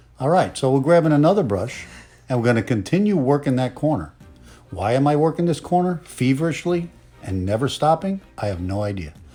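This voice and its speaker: With music in the background, a man at a fairly high pitch speaks at a fairly quick pace, his pitch swinging very widely. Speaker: comedic voiceover. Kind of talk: parody makeup tutorial voiceover. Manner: playful, joking.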